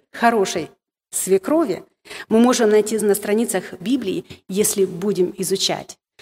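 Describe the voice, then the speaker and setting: Her intonation is lively and her pitch fairly high. The woman speaks at a very slow pace. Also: long, frequent pauses, very even loudness. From Moldova. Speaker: women's ministry speaker. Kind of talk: sermon. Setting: stage with audience. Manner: halting.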